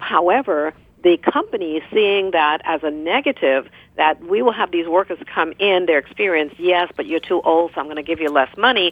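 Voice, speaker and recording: A plain, everyday voice from a woman, fairly low in pitch, with ordinary pitch variation at a moderate pace. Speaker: former politician. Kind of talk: panel discussion.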